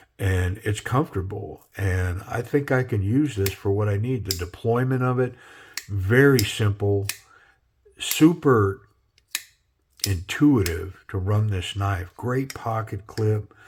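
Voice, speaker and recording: Relaxed and somewhat breathy, a man with an American accent speaks at a very slow pace in a fairly low voice with ordinary pitch variation. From Minnesota. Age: 60s. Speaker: knife reviewer. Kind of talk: casual product review. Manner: relaxed, halting with fillers.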